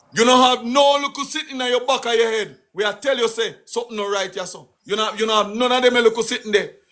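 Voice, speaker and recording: A man with a Jamaican accent speaks loudly at a fairly quick pace, his pitch extremely high and his tone bright and sharp. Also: hardly any pauses. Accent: Jamaican, Patois. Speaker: political live streamer. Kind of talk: political rant on live stream. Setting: live stream. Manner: animated.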